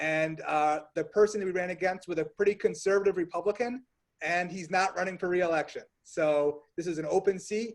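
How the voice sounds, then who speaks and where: With an American accent, a man speaks in a high pitch using fairly even intonation. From upstate New York (Rochester). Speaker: state senate candidate. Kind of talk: campaign pitch on video call.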